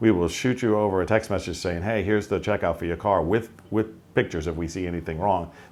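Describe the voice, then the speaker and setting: A man with an American accent talks at a very fast pace in a very deep, low pitch, with ordinary pitch variation. The recording is very clean, with a silent background. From Long Island, New York. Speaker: auto repair shop owner. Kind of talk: interview answer. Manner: casual, conversational.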